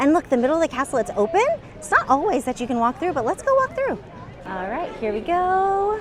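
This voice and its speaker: Against noticeable background noise, a woman talks at a very fast pace with very wide pitch swings. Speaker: theme park vlogger. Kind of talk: casual vlog narration. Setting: outdoors at a theme park.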